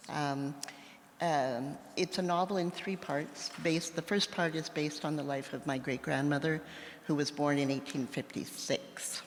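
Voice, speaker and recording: Over noticeable background noise, a woman with a Western Canadian accent speaks at a very deep, low pitch with fairly even intonation. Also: moderate pace. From Saskatchewan, Canada. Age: 60s. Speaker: novelist. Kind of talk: live interview. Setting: stage with audience.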